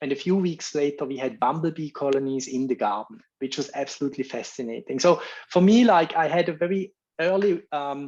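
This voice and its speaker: With a Swiss accent, a man talks at a fairly quick pace in a fairly high pitch, using ordinary pitch variation against a quiet background. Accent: non-American, Swiss. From Switzerland. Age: 50s. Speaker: bee researcher giving a talk. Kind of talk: lecture. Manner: hesitant, many fillers.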